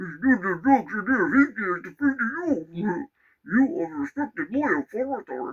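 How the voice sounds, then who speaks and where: A man puts on a character voice, pitched extremely high with very wide pitch swings, at a moderate pace. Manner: menacing, domineering.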